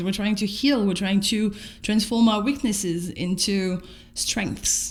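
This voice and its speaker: With a French accent, a woman speaks at a fairly slow pace and medium pitch in a somewhat breathy voice, with audible room echo. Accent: noticeable French. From France. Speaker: vlogger. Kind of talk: personal video diary. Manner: casual, halting with repetitions.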